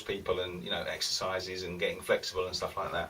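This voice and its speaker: Noticeable noise fills the background. Over it, a man talks fairly quickly. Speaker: guitar teacher. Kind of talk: tutorial. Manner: fast; casual.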